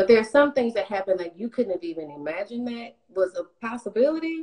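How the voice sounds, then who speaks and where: The tone is dark and mellow, with very wide pitch swings. Behind it, the background stays quiet. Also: woman. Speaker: professional background singer. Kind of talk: casual interview. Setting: online live stream. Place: home room. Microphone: video call.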